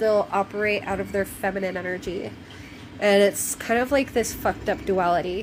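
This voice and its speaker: Noticeable background noise accompanies a woman whose intonation is fairly even. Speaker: tarot reader. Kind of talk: tarot reading. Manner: casual, halting with fillers.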